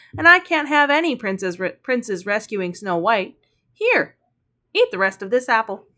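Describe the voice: With nothing audible behind it, the clip offers plain reading aloud.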